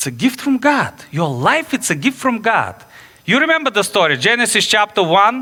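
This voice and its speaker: Here a man speaks with a Bulgarian accent in a raised, projected voice. His pace is moderate. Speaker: pastor. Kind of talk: sermon. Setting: church. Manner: animated.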